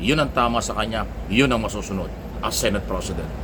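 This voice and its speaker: A man is speaking. Room echo is audible, and there is noticeable background noise. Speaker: political commentator. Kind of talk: opinion monologue. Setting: away from usual place. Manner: loud.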